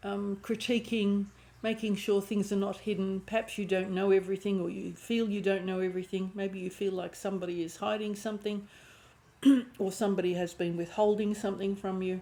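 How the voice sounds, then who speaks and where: Talking at a fairly quick pace, a woman has a medium pitch, a dark, mellow tone and a monotone, flat intonation. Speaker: tarot reader. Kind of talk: tarot reading monologue. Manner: hesitant, with repetitions.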